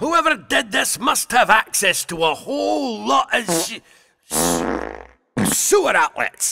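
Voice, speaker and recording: Using a put-on character voice, a man speaks high in pitch at a fairly slow pace, with long, frequent pauses. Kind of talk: comic overacting.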